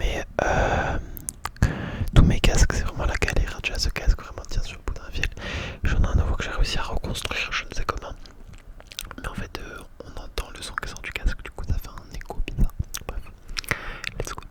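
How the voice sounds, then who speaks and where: Whispering at a moderate pace, a man leaves long, frequent pauses and swings widely in loudness over noticeable background noise. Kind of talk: ASMR casual rambling talk. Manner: whispered, close-up.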